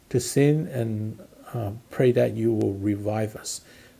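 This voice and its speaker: A man speaks in a dark, mellow, somewhat breathy tone with fairly even intonation. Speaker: pastor leading prayer. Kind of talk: prayer. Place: home room. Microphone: phone near.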